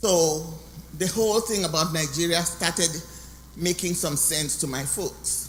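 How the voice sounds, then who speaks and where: Audible room echo hangs around a woman's voice. She talks at a fairly slow pace, with ordinary pitch variation. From Cameroon (anglophone). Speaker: guest speaker. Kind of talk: testimony.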